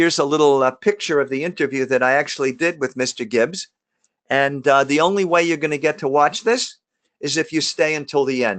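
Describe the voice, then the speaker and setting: A man speaks with a New York accent at a fairly quick pace. The background is quiet. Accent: New York area. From New Jersey (Jersey Shore, Lakewood). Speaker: emergency doctor. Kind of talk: webinar presentation. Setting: live webinar. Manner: casual, some stumbling and fillers.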